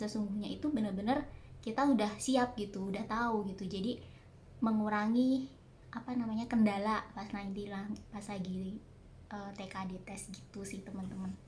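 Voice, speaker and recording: Audible room echo and noticeable background noise surround a voice moving at a moderate pace with fairly even intonation. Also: woman. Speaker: vlogger. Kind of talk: casual Q&A vlog. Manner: hesitant, many fillers. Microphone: no external microphone, quiet audio.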